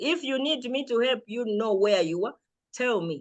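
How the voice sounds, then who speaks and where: Loud and confident, a woman speaks at a fairly high pitch and a moderate pace, her pitch swinging very widely. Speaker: lecturer. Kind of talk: lecture.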